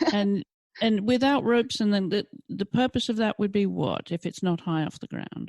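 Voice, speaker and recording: With a plain, everyday voice, a woman speaks at a moderate pace and a medium pitch. Her pitch varies in an ordinary way, and the sound is dry and close with no echo. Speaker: podcast host. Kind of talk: interview questions.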